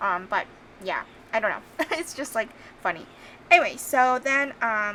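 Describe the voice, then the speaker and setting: With a bright, sharp tone, a woman speaks at a fairly high pitch. She goes at a fairly slow pace with long, frequent pauses. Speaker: planner youtuber. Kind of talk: casual voiceover walkthrough. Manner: hesitant, many ums.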